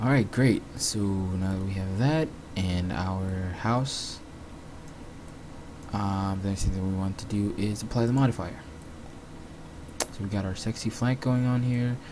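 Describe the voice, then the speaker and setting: Noticeable background noise sits behind a man speaking fairly slowly at a fairly low pitch with ordinary pitch variation. He takes long, frequent pauses. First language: not English. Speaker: 3D graphics tutorial maker. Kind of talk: screen-recorded software tutorial. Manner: casual, hesitant with fillers.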